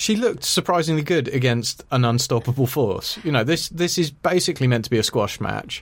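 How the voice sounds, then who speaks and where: Speaking at a fairly quick pace with hardly any pauses, a man uses a fairly high pitch, lively intonation, very even loudness and a somewhat breathy quality. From Ireland. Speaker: podcast host. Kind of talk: casual chat. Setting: studio.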